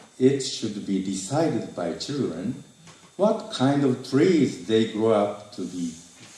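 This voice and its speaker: Very slowly and with lively intonation, a man with a Japanese accent speaks amid audible room echo and noticeable background noise. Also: medium pitch for a man. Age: 60s. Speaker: retired teacher. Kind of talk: reading aloud. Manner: halting.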